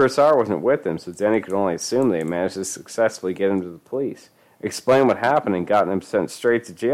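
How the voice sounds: The clip is spoken in a natural reading voice.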